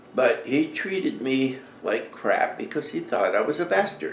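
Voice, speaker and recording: A man's voice with music in the background. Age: 70s. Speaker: Vietnam veteran. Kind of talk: casual talk to camera.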